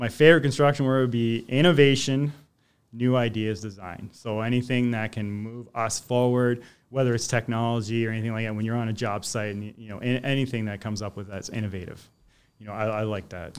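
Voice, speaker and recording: A man with an unremarkable speaking voice at medium pitch, fairly even intonation, big swings in loudness, and a fairly quick pace, on a very clean recording with a silent background. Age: 40s. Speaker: electrician and tool reviewer. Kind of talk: casual chat.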